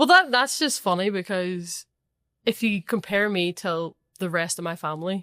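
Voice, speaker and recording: In a strong Northern Irish accent, a woman with a bright, sharp tone and ordinary pitch variation speaks at a moderate pace, with a dry, close sound, no echo and a silent background in a very clean recording. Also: medium pitch for a woman. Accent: thick Northern Irish. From Northern Ireland. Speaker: professional footballer. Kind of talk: casual chat.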